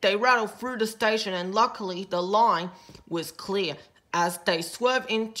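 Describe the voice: It is plain reading aloud, with ordinary pitch variation.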